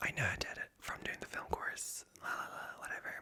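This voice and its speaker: Noticeable background noise sits behind the whispering. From Ireland. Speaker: ASMR creator. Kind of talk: whispered ASMR ramble. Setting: home recording at night. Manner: rambling with many fillers.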